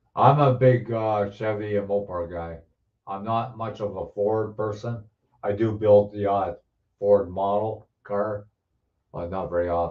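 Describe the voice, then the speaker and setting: Fairly slow, fairly low man's voice with fairly even intonation. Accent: Ontario. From Ontario, Canada (Hamilton). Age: 60s. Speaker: model car builder, live streamer. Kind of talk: casual live chat reading viewer comments. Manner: halting, many fillers and restarts.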